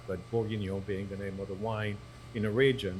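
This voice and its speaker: A man with a French accent speaks in a somewhat breathy voice at fairly low pitch, with audible room echo. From southern France. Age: 60s. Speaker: restaurateur and author. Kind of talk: podcast interview. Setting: live podcast recording at a venue.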